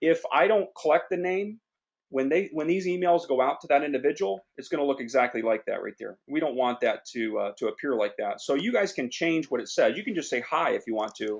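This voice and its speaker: A speaker with vocal fry talks at a fairly quick pace, the pitch swinging very widely. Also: man, fairly high pitch for a man. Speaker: online business trainer. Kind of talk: tutorial. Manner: fast.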